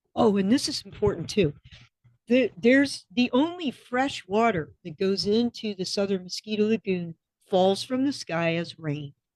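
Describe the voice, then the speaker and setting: In a dry, close recording with no echo, a woman uses a normal speaking voice at a fairly slow pace with lively intonation. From Florida. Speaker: restaurant co-owner and former commercial fisher. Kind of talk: podcast interview answer.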